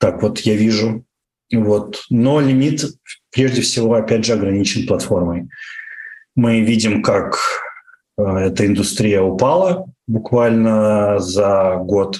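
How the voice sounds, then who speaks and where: A man's fairly low voice at a very slow pace, with ordinary pitch variation, very even loudness and long, frequent pauses. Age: 30s. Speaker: internet entrepreneur. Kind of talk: interview. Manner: hesitant, many fillers.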